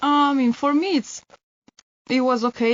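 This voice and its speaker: A woman at a high pitch and a moderate pace, with fairly even intonation. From Italy. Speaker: volunteer. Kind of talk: casual chat.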